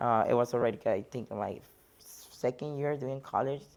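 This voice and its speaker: Speech at a moderate pace with ordinary pitch variation is heard over a quiet background. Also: woman. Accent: Spanish. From Mexico (border near Laredo). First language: Spanish. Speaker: bodybuilding competitor and coach. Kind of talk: interview.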